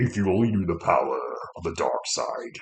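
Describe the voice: In a put-on character voice, a man sounds raspy.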